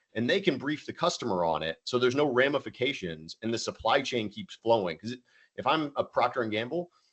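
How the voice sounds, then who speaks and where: Swinging very widely in pitch, a man with a medium-pitched voice and vocal fry talks at a fairly quick pace. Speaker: tech company founder and CEO. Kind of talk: webinar presentation. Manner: fast.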